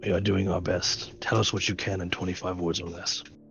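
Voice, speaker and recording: With clear music in the background, a man does a put-on character voice that is raspy and very deep, low in pitch, moving at a fairly quick pace with fairly even intonation. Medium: actual play.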